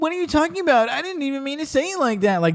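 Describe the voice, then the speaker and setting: A put-on character voice rattles along at a very fast pace and a high pitch. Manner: exaggerated, theatrical anime-style delivery.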